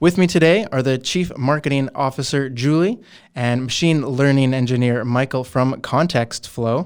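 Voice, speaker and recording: A man with a Canadian accent and a plain, everyday voice, medium in pitch, at a moderate pace with ordinary pitch variation, in a very clean recording with a silent background. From Canadian West Coast. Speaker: company interviewer. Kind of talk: casual interview.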